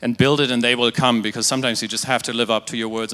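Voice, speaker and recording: A man with a German accent speaks in a bright, sharp tone. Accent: German-tinged. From Germany, near Dutch border. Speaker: digital agency creative, conference speaker. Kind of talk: conference talk. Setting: stage with audience.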